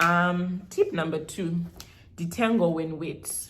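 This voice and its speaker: The voice sounds somewhat breathy, with a Zimbabwean accent and audible room echo. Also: woman. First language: Shona. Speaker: beauty vlogger. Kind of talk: hair care tutorial vlog. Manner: casual, code-switching with Shona.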